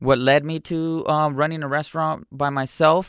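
At a moderate pace, the voice comes through in a very clean recording with a silent background and a dry, close sound with no echo. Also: man. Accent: Southern California. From Mexico, raised in San Diego. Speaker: musician and artist. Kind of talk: casual interview.

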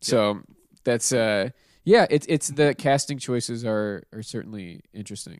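On a very clean recording with a silent background, a man with an American accent uses a normal speaking voice, medium in pitch, at a fairly slow pace with ordinary pitch variation and big swings in loudness. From Pittsburgh, US. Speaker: podcast host. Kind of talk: casual chat.

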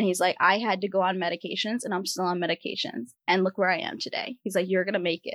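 A woman with an American accent talks at a very fast pace with hardly any pauses. Her intonation stays fairly even, and the sound is dry and close with no echo. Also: medium pitch for a woman. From US Northeast, Rhode Island. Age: 20s. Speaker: physician assistant. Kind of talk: casual interview. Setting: studio.

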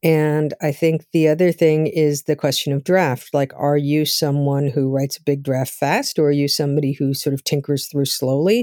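Recorded very cleanly with a silent background, the sound is dry and close with no echo. A woman speaks at a moderate pace in a very deep, low voice, with a dark, mellow tone and fairly even intonation. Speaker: novelist. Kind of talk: interview conversation. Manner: sounds authoritative.

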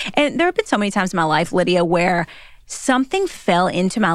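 With an animated, energetic tone, a woman of medium pitch speaks in a Southern US accent. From Kentucky, US. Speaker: author and speaker. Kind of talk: casual interview chat.

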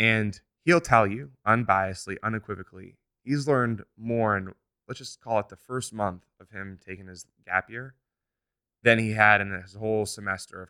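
On a very clean recording with a silent background and a dry, close sound with no echo, a man speaks at a moderate pace, his fairly low pitch carrying a bright, sharp tone. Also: ordinary pitch variation, big swings in loudness. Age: 20s. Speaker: entrepreneur. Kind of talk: interview.

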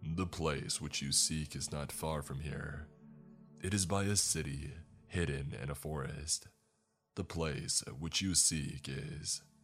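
Faint music plays in the background as a man does a put-on character voice, very deep and low in pitch, at a fairly slow pace. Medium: read story. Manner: grand, pleading.

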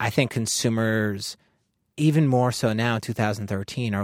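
A man with an American accent uses a plain, everyday voice at a fairly low pitch with fairly even intonation, recorded very cleanly against a silent background with a dry, close sound and no echo. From US Northeast, Long Island. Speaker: brand designer. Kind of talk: interview.

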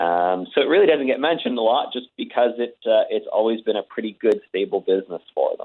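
Hardly any pauses break up this man's speech. His pace is fairly quick. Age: 30s. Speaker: record store chain executive. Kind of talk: phone interview. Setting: phone call.

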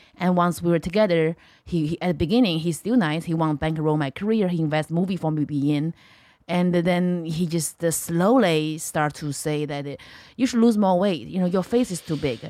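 In a very clean recording with a silent background, a woman with a Chinese accent speaks fairly quickly in a fairly low, dark, mellow tone with ordinary pitch variation. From China. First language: Mandarin Chinese. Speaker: comedian. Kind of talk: casual chat.

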